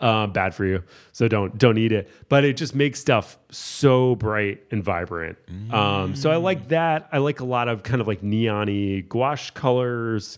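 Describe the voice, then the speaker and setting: A man talks at a fairly slow pace with ordinary pitch variation and an ordinary speaking voice. The recording is very clean, with a silent background. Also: medium pitch for a man. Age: 30s. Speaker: painter and art show producer. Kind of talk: casual chat. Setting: in person, drinking beer.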